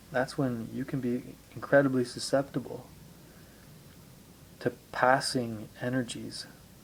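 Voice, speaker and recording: A man speaks fairly slowly at a medium pitch, in a monotone, flat delivery. Long pauses come often. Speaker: amateur video blogger on spirituality. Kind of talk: reflective monologue. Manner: deliberate.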